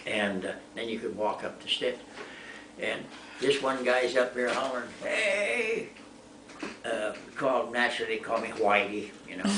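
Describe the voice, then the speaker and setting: A man talks at a moderate pace, leaving long, frequent pauses. Noticeable background noise and audible room echo are present. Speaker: war veteran. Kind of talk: casual chat. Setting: home.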